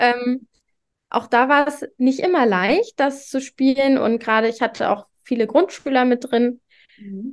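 A woman's high-pitched voice at a fairly slow pace. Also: ordinary pitch variation. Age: 20s. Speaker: primary school teacher. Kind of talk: casual interview.

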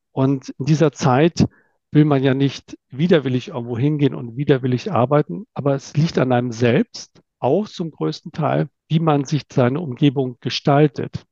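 A man's fairly high, dark and mellow voice with ordinary pitch variation at a moderate pace, dry and close with no echo. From northern Germany (Itzehoe, near Bremen). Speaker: manager. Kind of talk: interview.

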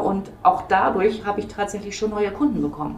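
A woman's medium-pitched voice comes with audible room echo and noticeable background noise. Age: 50s. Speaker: hairdresser, salon owner. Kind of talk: casual interview. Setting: hair salon, on location.

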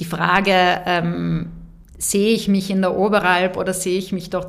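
With monotone, flat intonation, a woman talks at medium pitch and a moderate pace amid audible room echo. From South Tyrol, Bolzano. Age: 30s. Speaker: business executive. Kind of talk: interview. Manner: many hesitations (äh, ähm).

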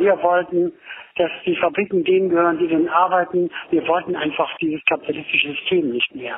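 A man is speaking. His pitch is high. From Berlin. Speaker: former autonomous left activist. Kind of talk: voice message testimony. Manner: halting.

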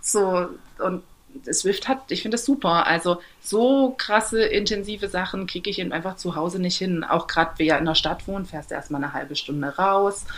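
With a normal speaking voice, a woman talks at a moderate pace and varies her pitch an ordinary amount. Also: medium pitch for a woman. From Saxony, eastern Germany (Torgau). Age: 30s. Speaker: amateur triathlete. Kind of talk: interview.

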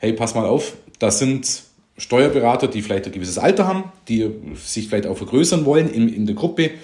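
This man has an unremarkable speaking voice at a medium pitch and talks at a fairly quick pace. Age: 40s. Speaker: tax advisor, firm owner. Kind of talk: casual interview.

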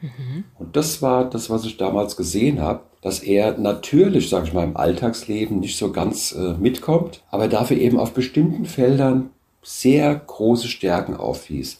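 Speaking at a fairly slow pace, a man with a dark, mellow tone and somewhat breathy voice stays at a medium pitch yet makes very wide pitch swings. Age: 60s. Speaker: business founder. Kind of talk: interview.

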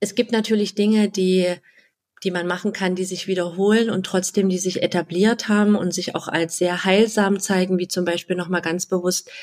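Fairly even intonation from a woman at a medium pitch. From Halle (Saxony-Anhalt), eastern Germany. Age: 30s. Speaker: wedding and funeral speaker. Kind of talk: interview.

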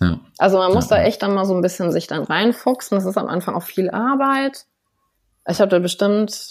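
A woman speaks with vocal fry at a fairly quick pace. The recording is very clean, with a silent background. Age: 30s. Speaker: psoriasis patient. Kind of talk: interview.

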